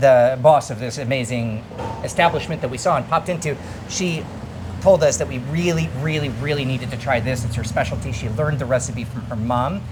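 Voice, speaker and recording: An animated tone and lively intonation amid audible room echo and noticeable background noise. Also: man. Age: 40s. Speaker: food travel vlogger and chef. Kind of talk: casual food vlog presenting. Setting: restaurant in northern Thailand. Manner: fast.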